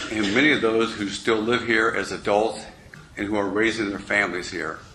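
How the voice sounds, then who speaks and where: With an American accent, a man speaks at a fairly quick pace. Audible room echo and noticeable background noise surround him. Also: fairly low pitch for a man, fairly even intonation. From Kansas City, US Midwest. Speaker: political candidate. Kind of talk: candidate forum opening statement. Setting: public forum with audience.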